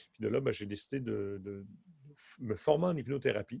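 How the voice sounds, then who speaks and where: A man's medium-pitched voice with vocal fry, ordinary pitch variation and a fairly slow pace, in a dry, close sound with no echo. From Quebec. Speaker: hypnotherapist and stage hypnotist. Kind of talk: casual interview.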